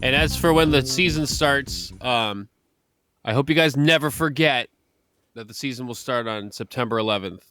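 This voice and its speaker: With music in the background, a man at medium pitch speaks at a moderate pace with ordinary pitch variation. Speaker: radio show co-host. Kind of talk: sports talk radio banter.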